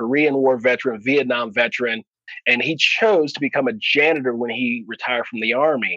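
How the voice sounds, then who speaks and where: An unremarkable speaking voice, a man with an American accent talks fairly quickly at a medium pitch with ordinary pitch variation. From US West Coast, Oakland, California. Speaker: leadership speaker and air force veteran. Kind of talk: interview conversation.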